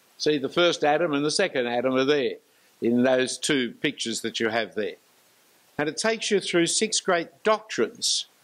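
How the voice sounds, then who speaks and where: With an Australian accent and a fairly high pitch, a man speaks at a moderate pace using very wide pitch swings. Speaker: preacher. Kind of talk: lecture. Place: church. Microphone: handheld.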